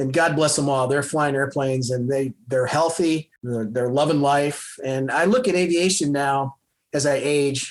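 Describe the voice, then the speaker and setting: A man with an American accent talks at a moderate pace in a fairly high pitch with fairly even intonation, an ordinary speaking voice. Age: 60s. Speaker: retired fighter pilot, airline pilot. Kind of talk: casual interview chat.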